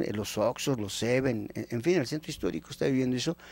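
A man's medium-pitched voice, dry with no echo. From Mexico, Temascalcingo (State of Mexico); State of Mexico, Mexico. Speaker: anthropologist and magazine editor; guest. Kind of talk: educational TV interview. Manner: animated. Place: studio. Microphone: handheld.

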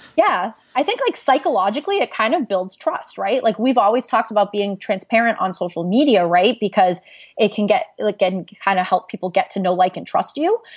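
A woman's fairly high, unremarkable speaking voice, fairly quick and lively in intonation. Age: young. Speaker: social media and branding consultant. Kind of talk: interview.

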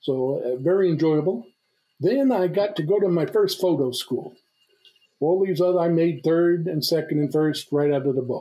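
A man with an American accent speaks at a moderate pace in a high voice, with ordinary pitch variation and very even loudness. The background is quiet. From New York (Brooklyn). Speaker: retired navy reconnaissance officer. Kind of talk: casual interview. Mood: relaxed, reminiscing. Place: home room. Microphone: webcam.

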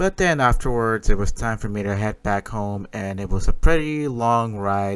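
A man speaks at a moderate pace, his pitch fairly low and varying in an ordinary way. His tone is clear and smooth.

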